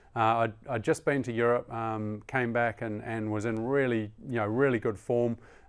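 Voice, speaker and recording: Hardly pausing, a man talks in a monotone, flat way with a New Zealand accent. The recording is very clean, with a silent background. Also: medium pitch for a man, moderate pace. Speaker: Olympic rower. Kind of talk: interview. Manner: halting, many fillers; measured.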